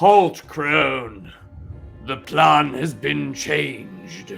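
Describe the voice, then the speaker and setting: With faint music in the background, a man does a booming, put-on character voice at a medium pitch and a very slow pace. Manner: commanding.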